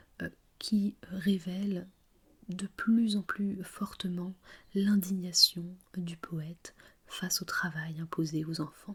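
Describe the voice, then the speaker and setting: The tone is gentle and calm, at a very slow pace. Long, frequent pauses break up the speech. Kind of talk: ASMR literature lesson, explaining a poem analysis. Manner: soft-spoken, gentle, calm.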